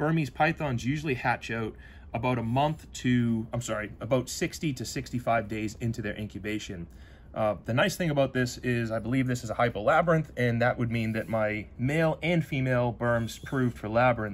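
With ordinary pitch variation, a man speaks at a moderate pace. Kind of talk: casual explanatory chat. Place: workshop.

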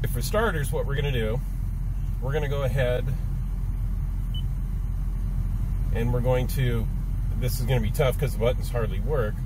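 A man speaks with long, frequent pauses. The sound is dry with no echo, and background noise is noticeable. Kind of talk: tutorial. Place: car. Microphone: phone near.

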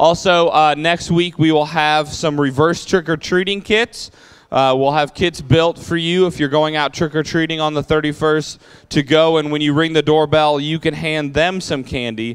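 Over a quiet background, the talking goes at a moderate pace. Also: man. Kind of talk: church announcements. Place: church. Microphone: handheld.

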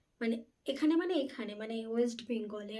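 A woman is speaking. Her voice is high, with ordinary pitch variation. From West Bengal, North 24 Parganas. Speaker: vlogger. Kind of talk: casual vlog monologue. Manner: loud; halting.

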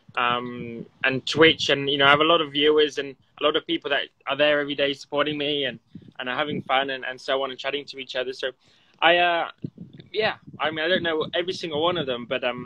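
Light background noise sits under a man's speech. He talks at a very fast pace with fairly even intonation. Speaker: remote interview guest. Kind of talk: interview answer. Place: garden. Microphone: phone near.

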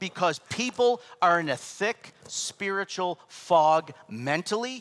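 A man speaks loudly at a very slow pace. His pitch is high, and his intonation is lively. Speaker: pastor. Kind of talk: sermon. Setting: church.

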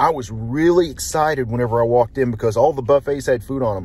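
A somewhat breathy man with ordinary pitch variation, in a dry sound with no echo. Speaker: food reviewer. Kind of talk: casual vlog chat. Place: car. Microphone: phone near.

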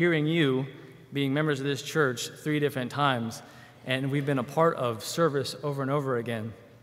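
The man's pitch sits fairly high and his intonation is fairly even. He talks at a fairly quick pace. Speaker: church member giving testimony, military. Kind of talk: testimony. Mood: warm, grateful. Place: church. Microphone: podium.

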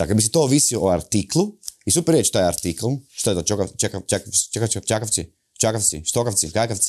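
A man speaks in a normal speaking voice at a fairly quick pace, pitched fairly low. His intonation is lively, and the background is quiet. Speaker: satirical comedy show host. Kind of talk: satirical monologue to camera. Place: studio. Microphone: lapel.

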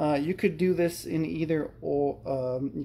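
A man speaks with ordinary pitch variation over light background noise. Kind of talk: tutorial. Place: kitchen. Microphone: phone near.

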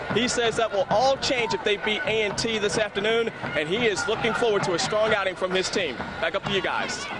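A man's high voice at a fairly quick pace, with ordinary pitch variation and very even loudness, over noticeable background noise. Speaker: sideline reporter. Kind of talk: live field report.

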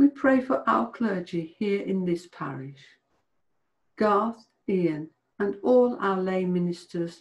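A woman talks very slowly, with a quiet background behind her. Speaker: church service leader. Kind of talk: fervent intercessory prayer. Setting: church morning prayer video. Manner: earnest; solemn, devotional. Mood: calm, reverent.

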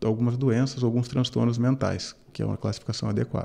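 This man's tone is dark and mellow, with a quiet background behind him. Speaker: university lecturer guest. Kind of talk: interview answer. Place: studio. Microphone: studio mic.

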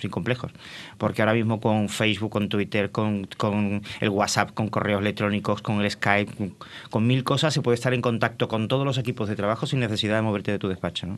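A man's fairly low voice moves at a fairly quick pace, its intonation fairly even. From Madrid, Spain (born in Cádiz). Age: 50s. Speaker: former TV director, tourism association president, depression foundation representative. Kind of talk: TV interview. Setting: TV studio. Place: studio. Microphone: studio mic.

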